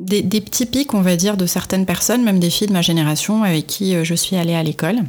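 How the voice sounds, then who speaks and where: Talking very fast with hardly any pauses, a woman of medium pitch keeps her loudness very even and her pitch variation ordinary. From Morocco, Marrakech. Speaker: entrepreneur, founder of a crafts brand. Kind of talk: interview. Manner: halting, many repetitions and hesitations.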